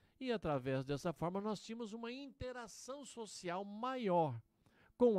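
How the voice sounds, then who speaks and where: This man speaks very slowly in a high pitch, with very wide swings up and down. His tone is dark and mellow. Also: big swings in loudness. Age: 60s. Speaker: pastor. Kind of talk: radio sermon.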